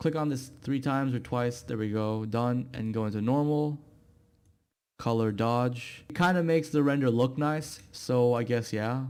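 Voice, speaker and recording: A man with a non-native accent speaks in a medium pitch at a moderate pace with fairly even intonation over music in the background. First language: not English. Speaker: YouTube tutorial creator. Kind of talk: software tutorial. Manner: casual, hesitant with fillers.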